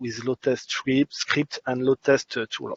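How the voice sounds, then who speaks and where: A man speaks at a medium pitch. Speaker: conference speaker on performance testing. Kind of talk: conference presentation. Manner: halting, many fillers.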